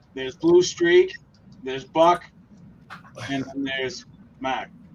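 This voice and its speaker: Noticeable noise sits in the background. The talking goes at a fairly slow pace. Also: man. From Maine. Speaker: hobby modeler. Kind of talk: casual chat. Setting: live stream video call.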